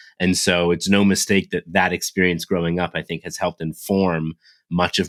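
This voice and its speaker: Very deep and low in pitch, a man speaks with fairly even intonation at a fairly quick pace. The sound is dry and close with no echo, on a very clean recording with a silent background. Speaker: author and leadership speaker. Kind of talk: interview.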